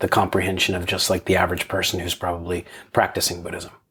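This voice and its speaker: The speaker is a man. He talks with a very deep, low pitch. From Pennsylvania, US. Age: 50s. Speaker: military veteran. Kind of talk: casual conversation. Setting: in-person recording in a room.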